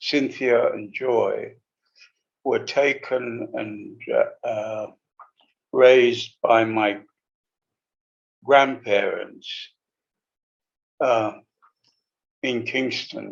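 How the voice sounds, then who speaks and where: A man speaks at a very slow pace. He takes long, frequent pauses, and his loudness swings widely. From Jamaica then London, England. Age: 70s. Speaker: retired engineer. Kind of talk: interview. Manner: halting, with many fillers.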